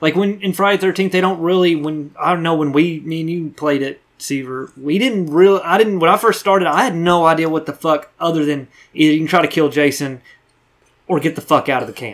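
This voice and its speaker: Speaking at a fairly quick pace, a man with a fairly high pitch has a plain, everyday voice and ordinary pitch variation. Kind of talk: casual chat. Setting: studio.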